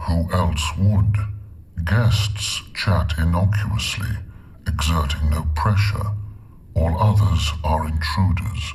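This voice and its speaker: In a put-on character voice with a very deep, low pitch, a man speaks at a very slow pace with long, frequent pauses over clear background noise. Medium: video game. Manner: measured, logical.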